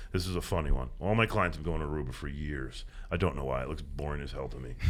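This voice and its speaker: Very fast, animated speech with vocal fry, ordinary pitch variation and audible room echo. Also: man, very deep, low pitch for a man. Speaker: environmental activist, beach cleanup organizer. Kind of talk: podcast interview.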